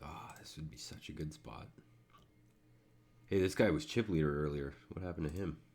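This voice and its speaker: Mumbled, fairly quick speech broken by long, frequent pauses, with ordinary pitch variation. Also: man, very deep, low pitch for a man. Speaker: online poker player streaming. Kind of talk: casual live commentary while playing. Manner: mumbling; uneven volume.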